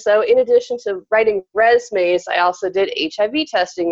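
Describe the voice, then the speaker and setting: This woman has an ordinary speaking voice. She talks at a moderate pace with lively intonation. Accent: American. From Arizona, small mining town. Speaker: career coach. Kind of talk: casual interview.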